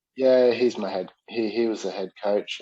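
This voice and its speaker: A man's dark, mellow tone at a fairly slow pace, with a slight New Zealand accent and a dry, close sound with no echo. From New Zealand, South Auckland. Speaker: Muay Thai and MMA coach, former fighter. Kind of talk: casual interview chat. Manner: halting, many fillers.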